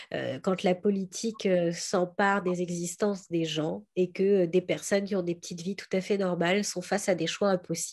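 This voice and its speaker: At a moderate pace and medium pitch, a woman speaks in a monotone, flat way with hardly any pauses. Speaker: novelist. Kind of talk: interview. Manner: hesitant, many fillers.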